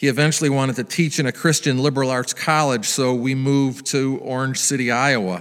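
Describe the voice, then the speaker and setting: A man with an unremarkable speaking voice and medium pitch talks at a fairly quick pace with hardly any pauses and fairly even intonation. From US Midwest. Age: 60s. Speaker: pastor. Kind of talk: sermon.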